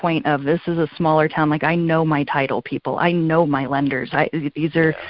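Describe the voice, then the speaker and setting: Using an ordinary speaking voice, a woman with an American accent talks at a moderate pace in a fairly low pitch. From California. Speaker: real estate agent. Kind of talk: interview.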